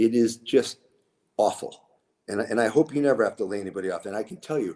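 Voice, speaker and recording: This man has an American accent. He keeps a moderate pace. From New England, suburban Boston. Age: 60s. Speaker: entrepreneur, cannabis grower. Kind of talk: interview. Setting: live-streamed show. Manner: halting.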